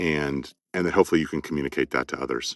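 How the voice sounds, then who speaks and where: Vocal fry runs through this man's voice. The sound is dry and close with no echo. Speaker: audiobook narrator and former college professor. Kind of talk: interview answer. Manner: thoughtful, measured, with frequent repetitions.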